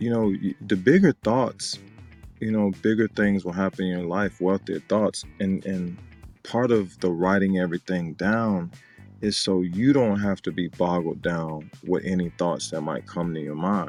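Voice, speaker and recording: Music plays in the background as a man with a very deep, low pitch speaks fairly slowly with ordinary pitch variation. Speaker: business funding consultant. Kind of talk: casual podcast talk.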